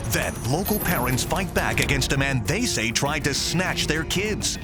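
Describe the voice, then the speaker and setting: A man at a fairly high pitch with very wide pitch swings, very even loudness and a fairly slow pace, music in the background. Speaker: voice over talent. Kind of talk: local TV news promo voice-over. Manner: urgent, punchy.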